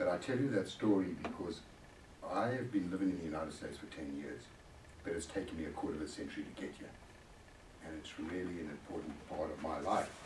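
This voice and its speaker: A man's very deep, low voice with lively intonation at a very fast pace, broken by long, frequent pauses, with audible room echo and noticeable background noise. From southern Africa. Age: 50s. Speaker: marketing consultant. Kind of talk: panel talk.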